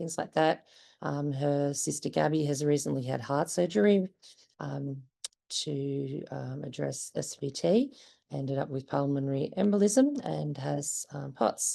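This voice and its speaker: At a fairly slow pace, a woman talks with an Australian accent. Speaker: parent of a patient. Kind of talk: conference presentation.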